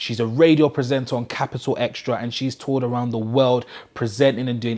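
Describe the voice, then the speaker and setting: An unremarkable speaking voice from a man at a medium pitch, fairly quick in pace. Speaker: interview show host. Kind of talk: show intro to camera. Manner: upbeat.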